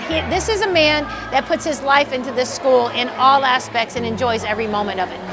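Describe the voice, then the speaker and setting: Clear background music behind a woman's moderate-paced speech. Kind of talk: casual introductions. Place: classroom. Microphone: camera far.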